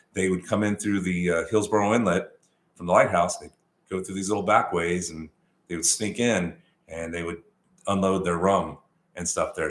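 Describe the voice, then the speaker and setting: A man's very deep, low voice with ordinary pitch variation at a fairly quick pace. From Texas. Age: 50s. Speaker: realtor and channel host. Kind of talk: live stream Q&A, casual chat. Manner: casual, many fillers.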